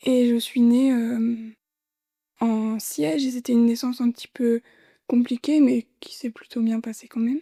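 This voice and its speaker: A woman with a fairly high pitch speaks at a fairly slow pace with fairly even intonation and long, frequent pauses. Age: 20s. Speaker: heart transplant patient and midwifery student. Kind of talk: testimony interview.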